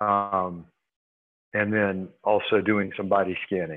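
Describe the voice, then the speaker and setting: Here a man speaks in a fairly low voice. His delivery is monotone and flat. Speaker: meditation practitioner. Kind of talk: casual group discussion.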